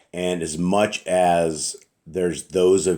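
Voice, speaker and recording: A man's very deep, low voice, dark and mellow in tone, at a very slow pace. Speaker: religious teacher. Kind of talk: bible study talk. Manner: casual, conversational.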